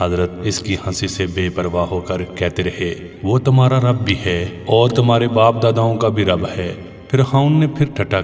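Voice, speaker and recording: Music plays in the background. A man with a fairly low voice speaks with ordinary pitch variation. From Azad Kashmir, Pakistan. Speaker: voice-over artist. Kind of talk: Islamic story narration.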